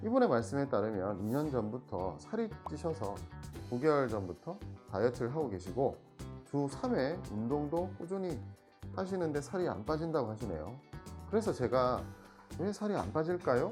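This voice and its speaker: With a Busan accent, the speaker goes at a moderate pace with long, frequent pauses as music plays in the background. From Busan, South Korea. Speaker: Korean medicine doctor. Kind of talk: health explainer talk to camera.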